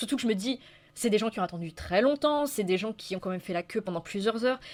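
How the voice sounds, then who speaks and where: A woman with a fairly high voice speaks at a very fast pace. The recording is very clean, with a silent background. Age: young. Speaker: YouTuber. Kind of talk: casual monologue. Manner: improvised, hesitant.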